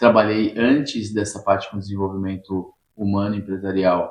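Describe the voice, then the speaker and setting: This man has a fairly low voice with monotone, flat intonation. He talks at a moderate pace. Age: 50s. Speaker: personal development trainer. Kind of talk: interview.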